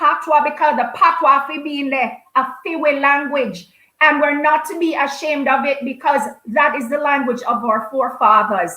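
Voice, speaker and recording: Raised, projected high voice of a woman in a Jamaican accent, with ordinary pitch variation. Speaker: storyteller and performer. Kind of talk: interview answer. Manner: lively, expressive.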